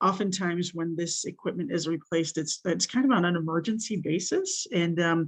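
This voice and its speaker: A woman speaks with ordinary pitch variation. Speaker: industry association representative. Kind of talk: public comment. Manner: fast.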